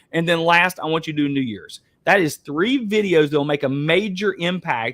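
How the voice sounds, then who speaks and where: Here is a man with an Appalachian accent and a high pitch. His tone is animated. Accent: Appalachian Southern US. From Eastern Kentucky, US. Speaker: webinar host, real estate coach. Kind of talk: webinar coaching talk. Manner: fast.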